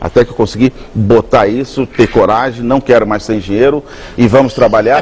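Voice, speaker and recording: In a normal speaking voice, a man delivers his words at a moderate speed. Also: medium pitch for a man, fairly even intonation. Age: 60s. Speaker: chef. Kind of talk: TV interview.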